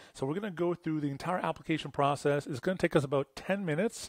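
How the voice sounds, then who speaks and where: Speaking very fast in a Canadian accent, a man uses a fairly high pitch with ordinary pitch variation, recorded dry and close with no echo on a very clean, silent background. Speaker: web design agency owner. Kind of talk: tutorial. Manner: casual.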